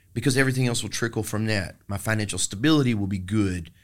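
This man speaks with a Texan accent. His pace is fairly quick. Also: very clean recording, silent background. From Texas. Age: 40s. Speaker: singer-songwriter. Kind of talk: casual interview about recovery.

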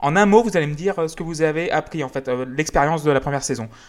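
On a very clean recording with a silent background, a man talks at a fairly quick pace in a high pitch with lively intonation. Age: 30s. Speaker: music podcast host. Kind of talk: casual chat.

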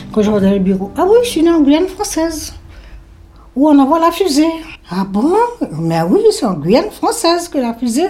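A high-pitched woman speaks at a moderate pace with very wide pitch swings. Long, frequent pauses break up her speech. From French Guiana, Saint-Laurent-du-Maroni. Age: 70s. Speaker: retired emigrant interviewee. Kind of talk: personal testimony interview.

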